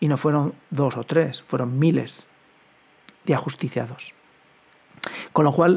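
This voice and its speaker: Somewhat breathy, a man talks at a fairly slow pace in a fairly high voice with ordinary pitch variation. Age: 50s. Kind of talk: commentary monologue.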